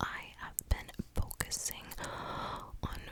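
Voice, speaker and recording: A woman whispers at a very slow pace, with noticeable noise in the background. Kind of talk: ASMR ramble and advice, casual talk to camera. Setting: close-mic recording at night. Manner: whispered, close-up.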